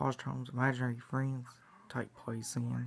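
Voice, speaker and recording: A man speaks as faint music plays in the background. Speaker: vlogger. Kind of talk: casual vlog chat, fan theory. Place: home room. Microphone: phone near.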